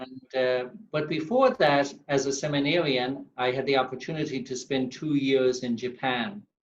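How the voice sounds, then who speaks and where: At a moderate pace with hardly any pauses, a man speaks at a medium pitch with fairly even intonation. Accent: Irish. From Ireland, County Mayo (west coast). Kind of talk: interview.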